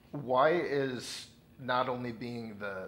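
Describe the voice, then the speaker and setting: A man's voice amid noticeable background noise. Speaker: interviewer. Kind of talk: interview. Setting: on location at event.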